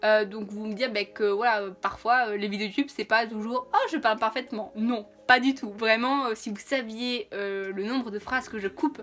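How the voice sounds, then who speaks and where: Noticeable background noise sits under a woman whose fairly high voice holds a fairly even intonation. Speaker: YouTuber. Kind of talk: casual vlog talk to camera. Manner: fast; not always clearly articulated.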